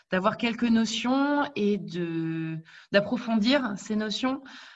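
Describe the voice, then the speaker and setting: A woman speaks in a somewhat breathy voice with lively intonation against a quiet background. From Paris region, France. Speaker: HR specialist. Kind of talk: interview.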